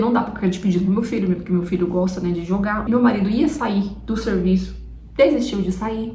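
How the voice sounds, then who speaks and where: A woman's very fast, fairly evenly intoned speech at a medium pitch, with audible room echo and noticeable background noise. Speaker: vlogger. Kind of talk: casual vlog chat. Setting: at home, camera on tripod.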